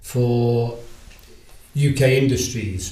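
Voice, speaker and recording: A man speaks with a Liverpool accent, somewhat breathy, at a medium pitch and with fairly even intonation. Room echo is audible. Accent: Liverpool (Scouse). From Liverpool, England. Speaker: retired sales agent. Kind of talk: interview.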